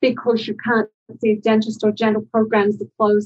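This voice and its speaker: Somewhat breathy, a woman speaks with an Australian accent at a fairly high pitch. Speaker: dental public health expert. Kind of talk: interview.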